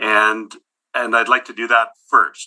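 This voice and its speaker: A man talks at a fairly slow pace. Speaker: presenter at city council hearing. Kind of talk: formal presentation. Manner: soft-spoken; halting.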